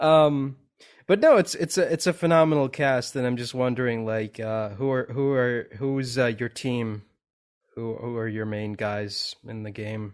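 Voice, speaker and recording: Against a quiet background, a man uses an ordinary speaking voice at medium pitch with ordinary pitch variation. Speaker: podcast host. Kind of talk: casual interview chat.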